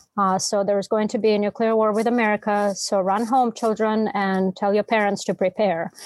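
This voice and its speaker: A woman with a Russian accent talks at a fairly quick pace with hardly any pauses, medium pitch and monotone, flat intonation. Her loudness stays very even, and the sound is dry and close with no echo. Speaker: novelist. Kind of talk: casual interview conversation.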